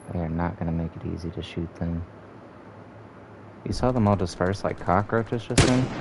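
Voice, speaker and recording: A man's very deep, low voice at a moderate pace, broken by long, frequent pauses, over noticeable background noise. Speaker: gaming streamer. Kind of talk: live gameplay commentary. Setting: live stream. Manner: monotone; casual, profane.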